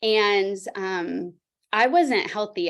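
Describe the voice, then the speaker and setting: A woman speaks in a normal speaking voice with lively intonation on a very clean recording with a silent background. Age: 40s. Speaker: fitness trainer. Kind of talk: testimony.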